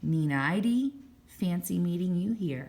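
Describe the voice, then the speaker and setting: A booming, female-sounding put-on character voice delivers its lines at a fairly slow pace with a middle pitch. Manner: menacing, mocking.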